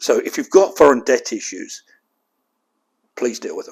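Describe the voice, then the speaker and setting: A man speaks at a moderate pace. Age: 60s. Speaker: company chairman, debt adviser. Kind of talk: webinar presentation. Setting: online event. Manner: frank, conversational.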